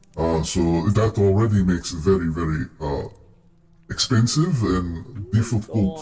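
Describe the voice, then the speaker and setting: A man puts on a character voice with a very deep, low pitch. He keeps a moderate pace. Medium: actual play. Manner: explanatory, thoughtful.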